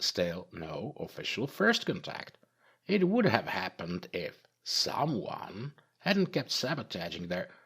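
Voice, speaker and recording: A put-on character voice, fairly slow and hissing. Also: man, fairly high pitch for a man. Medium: read story.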